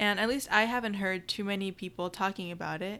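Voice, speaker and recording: A woman with an American accent, medium pitch, a bright, sharp tone and moderate pace on a very clean recording with a silent background. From US, military family moving around. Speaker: podcast co-host. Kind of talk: casual chat.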